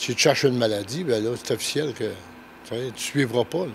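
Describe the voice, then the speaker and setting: With noticeable background noise behind him, a man speaks, his pitch varying in an ordinary way. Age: 70s. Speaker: masters swimmer, retiree. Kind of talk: interview answer. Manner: casual, colloquial.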